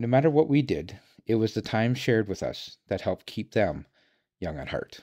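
Recorded very cleanly against a silent background, a man with a Canadian accent speaks at a moderate pace and medium pitch, his dark, mellow tone marked by vocal fry and very wide pitch swings. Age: 50s. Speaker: podcaster. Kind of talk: scripted monologue.

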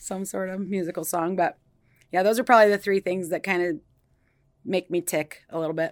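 A woman is speaking. She has a Midwestern American accent. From Iowa, US Midwest. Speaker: nurse practitioner. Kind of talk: interview.

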